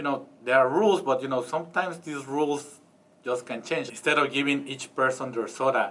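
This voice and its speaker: A man with a Spanish accent talks fairly quickly at a fairly high pitch with ordinary variation, and there is noticeable background noise. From Mexico. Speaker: interviewee, foreign resident. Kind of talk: interview answer.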